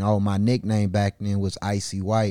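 The recording is very clean with a silent background. A man with an American accent speaks at a moderate pace, with a very deep, low pitch and a dark, mellow tone. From US Midwest, north side of Milwaukee, Wisconsin. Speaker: rapper. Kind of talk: casual interview chat. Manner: animated.

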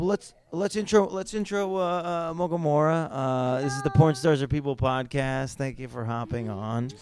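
A man's fairly high voice with lively intonation, a moderate pace, hardly any pauses, and noticeable background noise. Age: 30s. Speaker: podcast host and comedian. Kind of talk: casual interview chat. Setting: crowded expo event.

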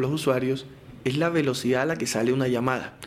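A man with a Barranquilla accent talks at a fairly quick pace and a fairly high pitch. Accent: Barranquilla Caribbean Colombian. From Colombian Caribbean coast, Barranquilla. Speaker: telecom company spokesperson. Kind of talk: technical interview explanation.

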